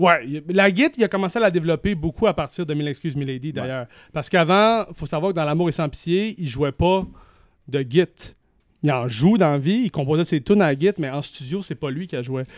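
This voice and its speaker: Recorded very cleanly against a silent background, with a dry, close sound and no echo, a man with a Quebec accent speaks fairly quickly at a fairly high pitch, his intonation lively. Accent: Québécois French. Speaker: music journalist. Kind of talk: casual chat.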